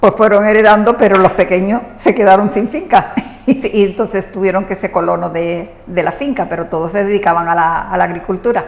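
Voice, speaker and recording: Over noticeable background noise, a woman with a medium pitch speaks at a fairly quick pace, with ordinary pitch variation and hardly any pauses. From southern Spain, Marbella (Andalusia). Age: 70s. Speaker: local resident profiled on TV. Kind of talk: TV interview.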